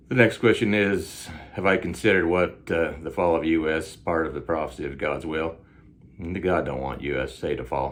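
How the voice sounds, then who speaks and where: A man with a Southern US accent speaks at a very deep, low pitch with vocal fry. His pace is moderate and his pitch varies in an ordinary way. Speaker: self-styled time traveler vlogger. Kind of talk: casual Q&A monologue. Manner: hesitant, many fillers.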